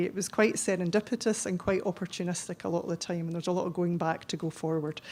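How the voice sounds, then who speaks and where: Speaking in a Scottish accent, a woman keeps her intonation fairly even. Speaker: chief pharmacist, conference speaker. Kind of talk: conference presentation. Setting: conference hall with audience. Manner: fast; hesitant, many ums.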